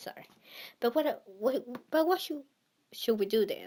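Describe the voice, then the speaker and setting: A woman speaks with a strong non-native accent. Her pitch varies in an ordinary way. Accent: thick non-native. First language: not English. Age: 20s. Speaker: vlogger. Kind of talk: casual monologue. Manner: halting.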